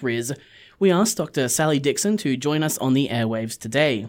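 Fairly quick speech in an Australian accent, on a very clean recording with a silent background. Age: 20s. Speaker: community radio host. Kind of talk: radio interview; scripted intro.

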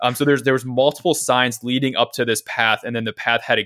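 Speaking in an ordinary speaking voice, a man talks at a fairly quick pace and medium pitch with fairly even intonation. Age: 20s. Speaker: podcast co-host, runner. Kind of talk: casual chat.

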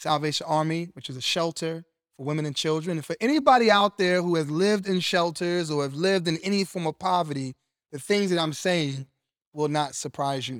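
With an animated tone, a man with a high pitch talks at a fairly quick pace with ordinary pitch variation, the sound dry and close with no echo. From Brooklyn, New York, then Cleveland, Ohio. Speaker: podcast host. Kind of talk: inspirational monologue.

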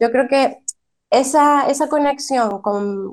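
Very slow speech with ordinary pitch variation over a quiet background. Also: woman. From raised in the United States, born in Venezuela. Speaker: early childhood bilingual teacher. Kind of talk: radio interview.

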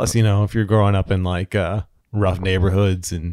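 On a very clean recording with a silent background, a man with an American accent speaks at a very fast pace with a very deep, low pitch and monotone, flat intonation. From Florida, St. Petersburg. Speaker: podcast co-host, horror fan. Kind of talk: casual chat; reading film credits notes.

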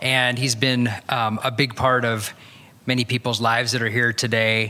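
With noticeable background noise behind him, a man talks at a moderate pace in a medium-pitched, monotone, flat delivery. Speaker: church member giving introduction. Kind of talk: introduction and prayer. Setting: church.

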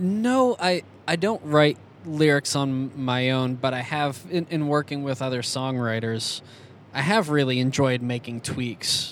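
The speaker has an ordinary speaking voice, talking at a fairly slow pace with ordinary pitch variation. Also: man, fairly high pitch for a man. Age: 30s. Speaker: musician and podcast co-host. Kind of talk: interview. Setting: in a car.

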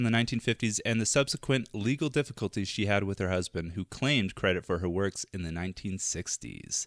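A man's ordinary speaking voice at a fairly quick pace with ordinary pitch variation, on a very clean recording with a silent background and a dry, close sound without echo. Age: 20s. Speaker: film podcast host. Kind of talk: reading aloud; casual chat.

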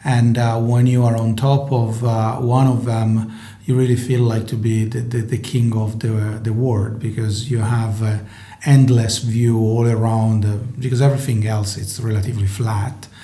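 A man with an Italian accent talks at a moderate pace in a monotone, flat intonation. Audible room echo and noticeable background noise are present. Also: medium pitch for a man. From northern Italy. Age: 40s. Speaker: tech company co-founder. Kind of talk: interview.

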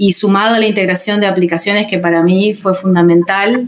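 Noticeable background noise runs under a woman talking at a moderate pace. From Uruguay, Rocha. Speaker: English teacher. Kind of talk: interview. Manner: halting.

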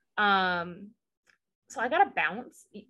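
A woman's medium-pitched voice, bright and sharp in tone, with a Southern US accent. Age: 20s. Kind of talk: casual chat recap.

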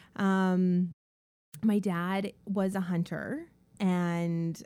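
A woman speaks in a monotone, flat intonation with a dark, mellow tone. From Canada, northern British Columbia. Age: 40s. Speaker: interior designer. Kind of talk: casual chat.

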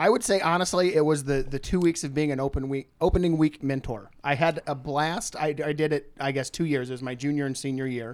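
An ordinary speaking voice moves at a fairly quick pace with hardly any pauses and ordinary pitch variation, in a very clean recording with a silent background. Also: man, fairly high pitch for a man. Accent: American. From rural Missouri. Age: 30s. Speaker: podcast guest. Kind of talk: casual chat.

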